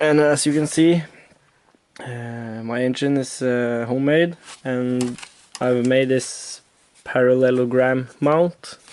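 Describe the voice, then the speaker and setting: The speaker talks in a Norwegian accent at a very slow pace, with long, frequent pauses. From Norway. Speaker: moped hobbyist vlogger. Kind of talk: casual vlog tutorial. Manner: halting, many fillers.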